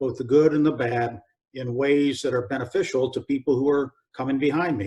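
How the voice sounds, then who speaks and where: Speaking at a moderate pace, a man with an American accent has an unremarkable speaking voice pitched fairly high. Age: 60s. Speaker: retired army general and motivational speaker. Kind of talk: interview.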